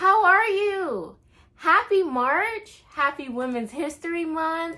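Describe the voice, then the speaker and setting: In a raised, projected voice that is bright and sharp, a woman speaks at an extremely high pitch and a very slow pace with lively intonation. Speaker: book reviewer. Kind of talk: casual talk to camera.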